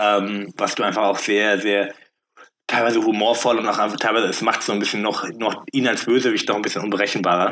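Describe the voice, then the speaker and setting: A man with a fairly low pitch and fairly even intonation talks in a plain, everyday voice. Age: 30s. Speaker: podcast guest. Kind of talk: casual chat.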